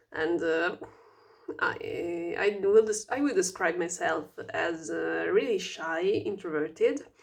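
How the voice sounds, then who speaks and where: A woman speaks at a very slow pace with a non-native accent. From Italy. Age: 20s. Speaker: vlogger. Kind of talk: casual self-introduction vlog. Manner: halting, many fillers and restarts; stuttering speech.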